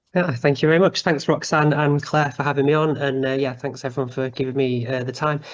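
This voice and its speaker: In a Mancunian accent, a man with a fairly high pitch talks at a very fast pace with hardly any pauses. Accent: soft Mancunian. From Manchester, northern England. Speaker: YouTuber on urban planning. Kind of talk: online talk. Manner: animated.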